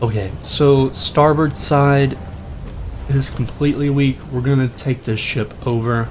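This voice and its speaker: Through noticeable background noise, a man talks with fairly even intonation. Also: medium pitch for a man. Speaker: gaming streamer. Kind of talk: live game commentary. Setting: live stream. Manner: fast.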